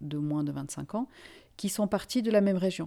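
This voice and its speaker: A woman's dark, mellow tone with lively intonation at a fairly quick pace. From Finland and Senegal. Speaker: journalist. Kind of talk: interview. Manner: halting.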